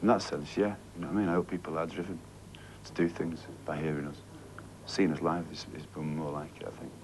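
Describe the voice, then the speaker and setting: A man with a strong Mancunian accent and a very deep, low pitch speaks very fast amid long, frequent pauses, with audible room echo. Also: ordinary pitch variation, big swings in loudness. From Manchester, northern England. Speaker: band singer. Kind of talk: TV interview. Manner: halting, repetitive.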